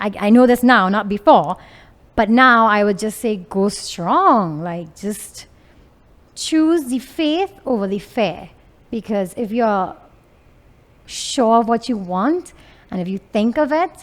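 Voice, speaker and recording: The pace is fairly slow. The intonation is lively. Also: woman. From Venezuela. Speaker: entrepreneur, clothing designer. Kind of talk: interview. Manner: loud.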